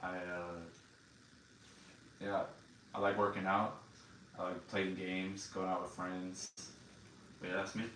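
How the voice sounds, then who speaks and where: With a Texan accent, a man with a very deep, low pitch but a bright, sharp tone speaks in a monotone, flat way at a fairly slow pace, leaving long, frequent pauses amid audible room echo. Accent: Texan American. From Texas. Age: 20s. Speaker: Air Force member. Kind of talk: interview. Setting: video recording. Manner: halting.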